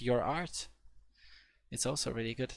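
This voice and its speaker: A man talks with a Polish accent. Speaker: programming tutor. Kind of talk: live webinar tutorial. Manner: halting, many fillers.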